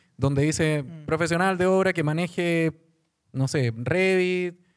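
A man speaks with a fairly high pitch and ordinary pitch variation. The recording is very clean with a silent background, and the sound is dry and close with no echo. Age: 40s. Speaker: construction tech startup founder. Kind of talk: panel discussion.

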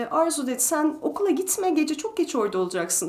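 A woman speaks at an extremely high pitch. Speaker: retired principal ballet dancer and ballet teacher. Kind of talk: interview.

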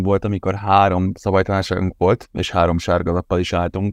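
A normal speaking voice comes through against a quiet background. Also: man, dry, close sound with no echo. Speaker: podcast co-host. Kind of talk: casual football podcast chat.

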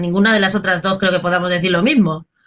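A woman is speaking. Her pace is very fast. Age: 40s. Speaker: radio host, debate moderator. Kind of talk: panel discussion.

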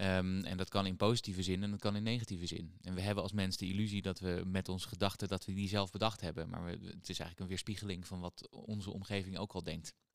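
A man with a very deep, low pitch talks at a very fast pace, with hardly any pauses, in a monotone, flat intonation. The recording is very clean, with a silent background. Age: 30s. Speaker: psychologist and author. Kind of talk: casual interview.

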